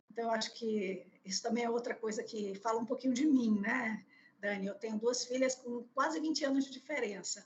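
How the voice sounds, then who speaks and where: A woman's fairly high voice, moderate pace and ordinary pitch variation. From Bahia, Brazil (Salvador). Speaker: HR executive. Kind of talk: interview. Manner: hesitant, many fillers.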